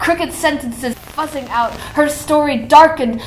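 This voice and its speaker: Over noticeable background noise, a woman speaks in a high voice at a fairly slow pace. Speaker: poet. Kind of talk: spoken word poetry performance.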